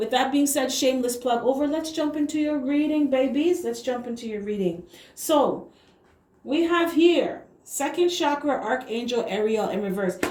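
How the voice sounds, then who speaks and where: Amid noticeable background noise and audible room echo, a woman speaks in a high voice with lively intonation. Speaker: tarot reader. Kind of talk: tarot reading.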